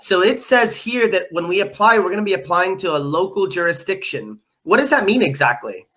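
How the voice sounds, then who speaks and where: A woman's medium-pitched voice at a moderate pace, with very wide pitch swings. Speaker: live stream host. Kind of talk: live stream tutorial. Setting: live stream with screen sharing. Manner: hesitant with many fillers.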